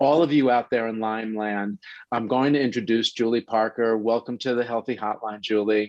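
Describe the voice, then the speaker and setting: In a New York accent, a man talks at a moderate pace and medium pitch with fairly even intonation. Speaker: health radio show host. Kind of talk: interview introduction.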